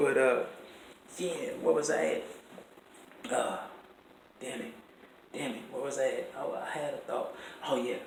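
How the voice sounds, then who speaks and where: A man's speech with long, frequent pauses, audible room echo and noticeable background noise. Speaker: musician in a psychiatric ward. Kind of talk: casual vlog monologue. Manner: fast; animated.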